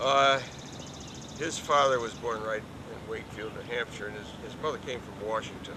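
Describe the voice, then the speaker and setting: Amid noticeable background noise and audible room echo, a man speaks at a medium pitch with lively intonation and big swings in loudness. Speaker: interviewee recounting family history. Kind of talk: oral history interview. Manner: halting.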